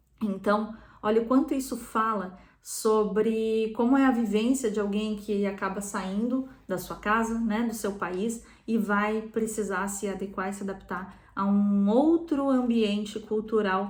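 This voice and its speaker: A woman's fairly high voice at a fairly slow pace, with fairly even intonation and audible room echo. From southern Brazil (Rio Grande do Sul). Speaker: psychotherapist. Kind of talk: talk on psychology, guest on channel.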